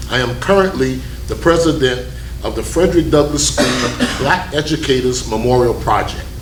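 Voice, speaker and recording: A man speaks at a moderate pace. Noticeable background noise and audible room echo accompany him. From Key West, Florida. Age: 60s. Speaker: political candidate. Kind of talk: candidate introduction at a forum. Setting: studio.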